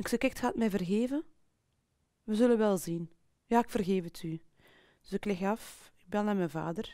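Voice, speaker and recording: A woman's dark, mellow voice with ordinary pitch variation and big swings in loudness, at a moderate pace with long, frequent pauses, dry with no echo, over a quiet background. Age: 40s. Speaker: sales professional. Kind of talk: personal testimony interview. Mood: personal, reflective storytelling. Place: studio.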